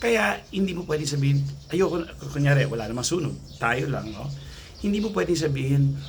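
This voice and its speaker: Soft-spoken, a man with a fairly high pitch and lively intonation talks amid noticeable background noise and audible room echo. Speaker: anxiety coach vlogger. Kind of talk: casual vlog talk. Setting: outdoors near gate by road.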